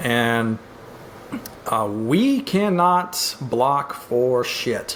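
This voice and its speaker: A man talks at a medium pitch. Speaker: podcast co-host. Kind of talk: casual sports podcast talk. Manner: casual, hesitant with fillers.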